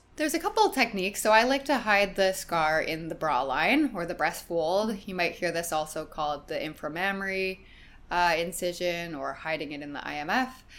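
A woman with a Canadian accent and an ordinary speaking voice talks at a fairly quick pace in a fairly low pitch. Her intonation is lively, with big swings in loudness. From Canadian prairies. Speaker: plastic surgeon. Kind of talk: interview.

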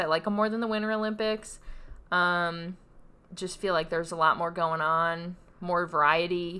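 Here is a woman with a normal speaking voice. She keeps a moderate pace and ordinary pitch variation. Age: 20s. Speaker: podcast co-host. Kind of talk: casual chat.

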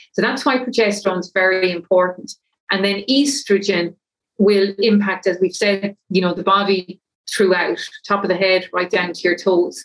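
In an Irish accent, a woman speaks at a moderate pace and medium pitch, her intonation fairly even. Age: 50s. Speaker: menopause coach. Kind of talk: interview.

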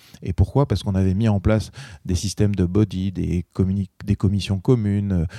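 The voice has a dark, mellow tone, fairly even intonation and a moderate pace broken by long, frequent pauses. The sound is dry and close with no echo, on a very clean recording with a silent background. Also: man, fairly low pitch for a man. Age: 40s. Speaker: entrepreneur. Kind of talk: interview.

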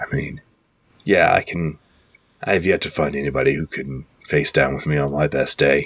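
Putting on a character voice, a man goes extremely low in pitch with a slightly husky edge. His intonation stays fairly even. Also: moderate pace.

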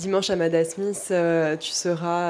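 Her voice is fairly low for a woman. The intonation is monotone and flat. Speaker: radio presenter. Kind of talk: radio introduction. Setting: live public broadcast in a restaurant.

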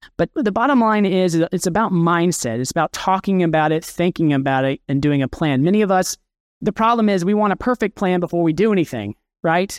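At a fairly quick pace, a man with an American accent speaks at a high pitch with lively intonation and very even loudness. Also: dry, close sound with no echo, quiet background. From Kansas, US Midwest. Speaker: estate planning attorney. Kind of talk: conference presentation. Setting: stage with audience.

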